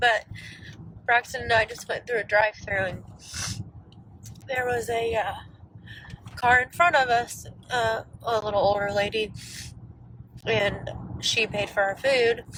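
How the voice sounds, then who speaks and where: Using a put-on character voice, a woman speaks raspily at a fairly high pitch and a moderate pace, with long, frequent pauses. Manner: telling an anecdote.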